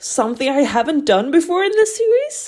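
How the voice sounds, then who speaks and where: In a very clean recording with a silent background, a woman speaks with very wide pitch swings. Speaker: book reviewer. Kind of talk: book review, scripted voiceover.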